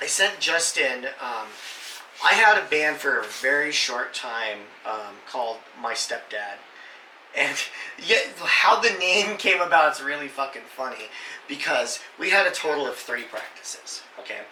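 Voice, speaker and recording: A man's fairly high, animated voice with lively intonation at a fairly slow pace, amid audible room echo and noticeable background noise. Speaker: gaming channel host. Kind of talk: casual chat.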